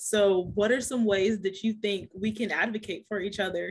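A somewhat breathy woman at a moderate pace. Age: 20s. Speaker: podcast host. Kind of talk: casual interview.

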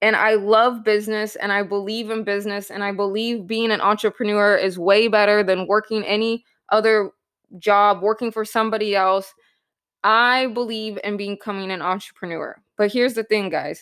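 On a very clean recording with a silent background, a woman with a fairly high pitch talks at a moderate pace in an excited, upbeat tone. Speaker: podcast host and real estate entrepreneur. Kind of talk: pep talk. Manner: earnest, emphatic, motivational.

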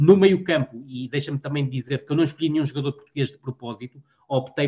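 A man's medium-pitched voice with a dark, mellow tone, at a fairly quick pace with ordinary pitch variation, in a dry, close sound with no echo. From northern Portugal, Vila do Conde. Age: 40s. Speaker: football analyst and columnist. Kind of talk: casual interview. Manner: halting, frequent word repetitions.

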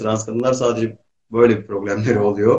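Somewhat breathy, a man speaks at a moderate pace with a fairly low pitch. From eastern Turkey. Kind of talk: casual chat. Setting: video call.

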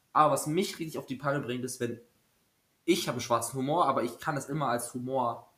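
A man talks at a fairly quick pace in a bright, sharp tone, with medium pitch and ordinary pitch variation. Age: 20s. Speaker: student teacher podcaster. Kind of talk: casual chat.

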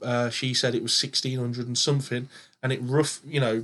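With an English accent, a man speaks at a moderate pace. His pitch is medium and his intonation monotone and flat. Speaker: podcast host and paranormal investigator. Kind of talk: casual chat. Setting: home studio.

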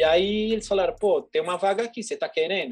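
A man talks at a very fast pace in a high pitch. The background is quiet. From São Paulo state, Brazil. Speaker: advertising executive. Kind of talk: casual interview chat.

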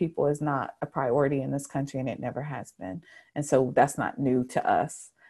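A woman speaks with an American accent at a fairly slow pace. Her pitch is very deep and low. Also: very clean recording, silent background. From Charlotte, North Carolina. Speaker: community advocate. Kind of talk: interview.

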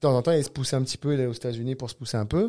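In a very clean recording with a silent background, a man talks in a dark, mellow tone. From southern France, Cannes. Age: 40s. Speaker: jiu-jitsu coach and federation director. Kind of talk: casual interview.

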